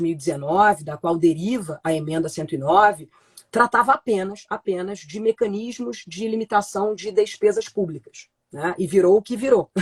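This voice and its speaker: A woman speaks in a somewhat breathy voice. Her intonation is lively. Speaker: law professor. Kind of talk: lecture. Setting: online live stream.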